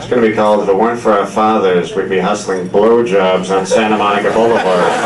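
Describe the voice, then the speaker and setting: A man talks very fast at a fairly low pitch, with audible room echo and noticeable background noise. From Seattle suburb, US Pacific Northwest. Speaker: comedian. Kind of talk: stand-up. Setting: stage with audience.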